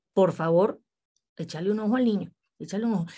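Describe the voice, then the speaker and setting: A woman's ordinary speaking voice at a medium pitch, in a very clean recording with a silent background. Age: 40s. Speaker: radio host. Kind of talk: interview.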